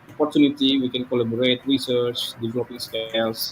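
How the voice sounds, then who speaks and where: A man talks at a medium pitch and a moderate pace, his intonation monotone and flat. Noticeable background noise runs under his voice. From Indonesia. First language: Indonesian or local language. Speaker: psychology lecturer. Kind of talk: lecture. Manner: halting.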